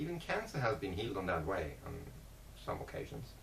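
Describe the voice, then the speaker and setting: Fairly quick speech with noticeable background noise and audible room echo. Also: man. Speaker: vlogger. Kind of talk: casual monologue. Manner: halting.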